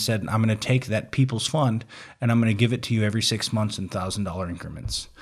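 A plain, everyday voice, its pitch varying in an ordinary way. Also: man, very clean recording, silent background. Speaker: Navy veteran. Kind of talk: casual chat.

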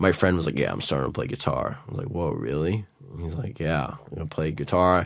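Very deep and low, a man's voice with vocal fry moves at a fairly quick pace. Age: 20s. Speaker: jazz guitarist. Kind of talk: casual chat.

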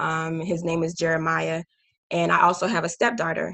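A woman's fairly low-pitched voice, bright and sharp in tone, with an American accent. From Haiti, then US from age five. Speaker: army officer. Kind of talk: casual chat.

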